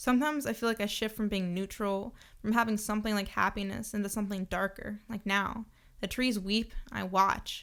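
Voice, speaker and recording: A woman speaks at a fairly quick pace with fairly even intonation, at a medium pitch, in an unremarkable speaking voice. The recording is very clean, with a silent background. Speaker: voice actor. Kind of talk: dark first-person short story reading. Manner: somber, introspective.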